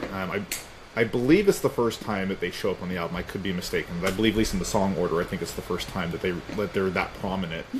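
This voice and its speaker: Very deep, low male voice at a very fast pace, fairly even intonation, over noticeable background noise. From US Southeast. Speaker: music interviewer. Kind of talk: interview. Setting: video call.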